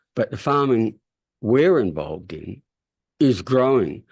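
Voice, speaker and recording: A man at medium pitch speaks with an Australian accent. His pace is moderate and the background quiet. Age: 70s. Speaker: farmer and interviewer. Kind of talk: interview discussion. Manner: halting.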